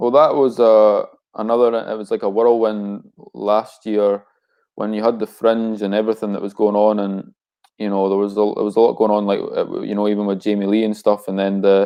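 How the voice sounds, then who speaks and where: A man with a Scottish accent speaks at a fairly quick pace in a fairly low pitch, his intonation monotone and flat. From Scotland. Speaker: rapper. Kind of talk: casual interview.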